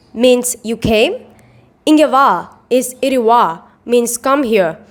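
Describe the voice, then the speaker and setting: A woman's high-pitched voice moves at a very slow pace. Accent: Tamil. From India, Chennai, Tamil Nadu. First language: Tamil. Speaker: calligraphy artist. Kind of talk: scripted narration.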